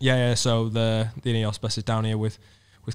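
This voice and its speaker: In a very clean recording with a silent background, a man speaks in a Cardiff accent. His pitch is medium, his pace moderate, and his intonation monotone and flat. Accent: Welsh (Cardiff). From Wales, Cardiff. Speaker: professional road cyclist. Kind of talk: casual chat. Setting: stage with live audience.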